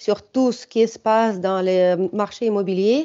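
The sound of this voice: Speaking slowly with a non-native accent, a woman uses a medium pitch, fairly even intonation and a dark, mellow tone. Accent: foreign, non-French.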